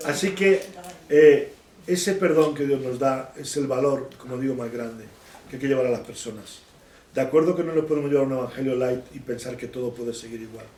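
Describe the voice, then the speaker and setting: A man of medium pitch talks at a fairly quick pace with ordinary pitch variation and big swings in loudness. Audible room echo is present. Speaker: bible teacher. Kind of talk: bible study teaching.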